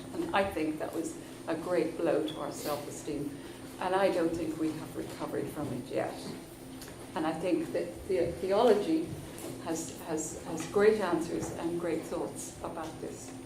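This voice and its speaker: Fairly slow, fairly low-pitched female speech in a Belfast accent, with fairly even intonation, audible room echo and noticeable background noise. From Northern Ireland, Belfast. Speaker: conference chair. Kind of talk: introducing a speaker.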